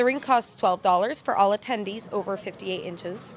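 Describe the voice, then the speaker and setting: A woman talks at a very fast pace. Noticeable background noise is heard behind her. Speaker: multimedia journalist. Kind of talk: TV news report.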